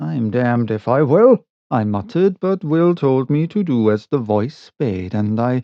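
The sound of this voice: An unforced reading voice with lively intonation is heard against a quiet background.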